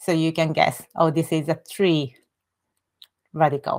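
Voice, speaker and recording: In a very clean recording with a silent background, a woman with a Japanese accent speaks at a fairly low pitch and a very slow pace. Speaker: Japanese language teacher. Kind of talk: tutorial. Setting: live stream with screen share. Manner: halting.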